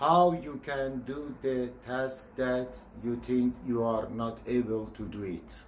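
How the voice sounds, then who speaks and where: In a room with audible echo, a man speaks at a very slow pace in a medium pitch with ordinary pitch variation. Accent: non-native. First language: not English. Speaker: video blogger. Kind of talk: personal vlog monologue. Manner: halting.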